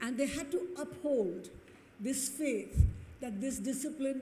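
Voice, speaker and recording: A woman's fairly slow delivery with ordinary pitch variation, audible room echo and noticeable background noise. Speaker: award recipient, qualitative market researcher. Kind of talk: acceptance speech. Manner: reading from a prepared text.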